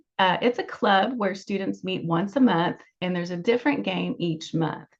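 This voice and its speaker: A woman speaks at a moderate pace with a medium pitch and ordinary pitch variation. Vocal fry runs through her voice. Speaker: school staff presenter. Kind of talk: informational presentation.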